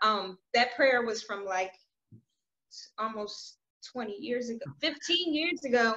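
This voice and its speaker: A high-pitched woman's voice with a bright, sharp tone and lively intonation, very slow and broken by long, frequent pauses, over a quiet background. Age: young. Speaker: online video host. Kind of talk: interview. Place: home room. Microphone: video call.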